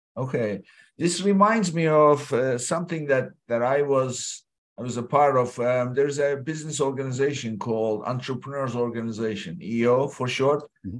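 A man at medium pitch, an ordinary speaking voice, ordinary pitch variation and a moderate pace. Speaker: podcast host. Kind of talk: casual interview. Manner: uses many filler words.

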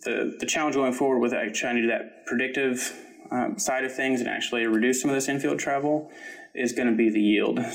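Amid noticeable background noise and audible room echo, a man talks at a fairly quick pace with medium pitch and fairly even intonation. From Kentucky. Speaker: PhD student in engineering. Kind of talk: interview. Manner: hesitant with fillers.

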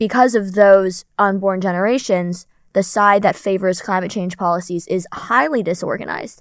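On a very clean recording with a silent background, a woman speaks in a plain, everyday voice at medium pitch and a moderate pace, her intonation fairly even. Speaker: podcast host. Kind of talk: casual chat. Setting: studio.

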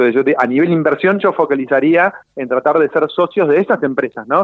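This man talks at a very fast pace. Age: 40s. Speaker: entrepreneur and financial author. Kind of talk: radio interview. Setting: phone call.

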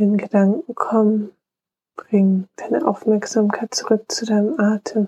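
A woman with an unremarkable speaking voice talks at a fairly high pitch and a fairly slow pace. Her intonation is fairly even, and the sound is dry and close with no echo. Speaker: meditation guide. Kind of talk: guided meditation. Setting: solo podcast recording. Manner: slow, calm, soothing; gentle, warm, unhurried.

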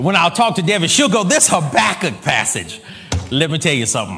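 An animated tone and lively intonation come through audible room echo and noticeable background noise. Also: man. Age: 40s. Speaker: preacher. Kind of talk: sermon.

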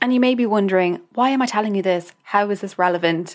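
A woman's warm, enthusiastic voice in an American accent on a very clean recording with a silent background. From Ireland. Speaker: dietitian and podcast host. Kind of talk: solo podcast monologue, introduction. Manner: warm, enthusiastic, conversational.

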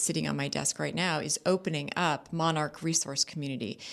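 Speaking at a fairly quick pace against a quiet background, a woman talks with a Californian accent. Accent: Californian American English. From Southern California, Orange County. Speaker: district attorney. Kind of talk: radio interview. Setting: radio studio.

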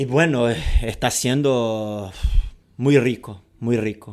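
Against a very clean recording with a silent background, a man with a Portuguese accent speaks at a medium pitch and a very slow pace. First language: Portuguese (speaking Spanish). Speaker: football coach and podcast co-host. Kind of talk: casual chat. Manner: halting, many repetitions.

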